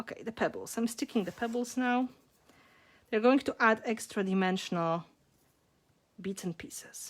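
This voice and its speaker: A woman with a Polish accent, fairly high pitch, ordinary pitch variation, moderate pace and long, frequent pauses. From Poland. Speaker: mixed media artist. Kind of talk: live craft tutorial. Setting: home art studio, livestream.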